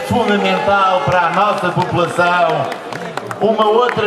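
A man with a high voice speaks at a fairly slow pace, with audible room echo and crowd noise in the background. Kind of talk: public speech. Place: stage.

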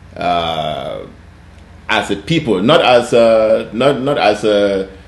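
Audible room echo surrounds the voice of a man as he talks. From Cameroon (Bafut, Northwest). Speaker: TV show host. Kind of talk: interview conversation. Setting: studio interview. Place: office.

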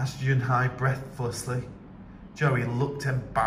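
Reading done in an unforced voice

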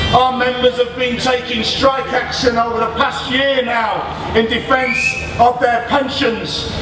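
A man's extremely high-pitched voice, with audible room echo and noticeable background noise. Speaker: trade union leader. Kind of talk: rally speech. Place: stage. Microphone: pa.

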